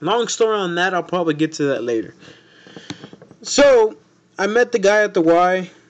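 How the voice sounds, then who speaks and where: Pausing long and often, a man speaks at a high pitch with lively intonation. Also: moderate pace. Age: 20s. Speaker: amateur podcaster. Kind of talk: casual monologue. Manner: halting, stumbling over words.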